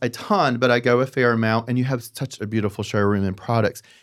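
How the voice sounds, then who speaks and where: Speaking at a fairly quick pace, a man in a Southern US accent comes through on a very clean recording with a silent background. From US South. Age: 50s. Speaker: podcast host, designer. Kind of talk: casual interview. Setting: studio.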